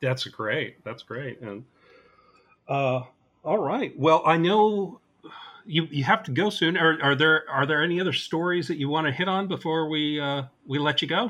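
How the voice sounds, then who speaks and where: A man with a fairly high pitch speaks at a moderate pace with ordinary pitch variation, in a normal speaking voice. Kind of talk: casual interview.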